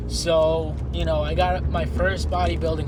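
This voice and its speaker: A man with a very deep, low voice speaks with fairly even intonation. Audible room echo and noticeable background noise are present. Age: 20s. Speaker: amateur bodybuilder vlogger. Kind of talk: casual vlog. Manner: quiet.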